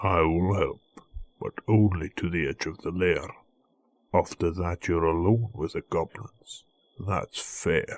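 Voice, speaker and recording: Using a put-on character voice with very deep, low pitch, a man talks at a fairly slow pace with long, frequent pauses. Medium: read story.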